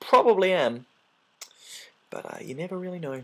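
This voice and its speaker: The recording is very clean, with a silent background. A man speaks in a calm tone at a moderate pace. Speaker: video game let's play commentator. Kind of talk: gameplay commentary. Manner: calm, low-key.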